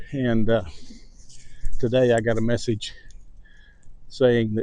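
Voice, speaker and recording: A man's flat, monotone voice with a Texan accent, dark and mellow in tone, medium in pitch, at a fairly slow pace. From Texas. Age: 70s. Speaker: vlogger. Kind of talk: casual chat. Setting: outdoors walking dogs. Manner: slow and distinct.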